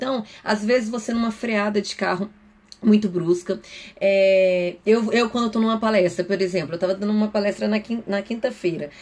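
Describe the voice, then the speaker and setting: A woman of medium pitch speaks fairly quickly with ordinary pitch variation. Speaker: psychoanalyst. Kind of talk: live stream talk. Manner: fast.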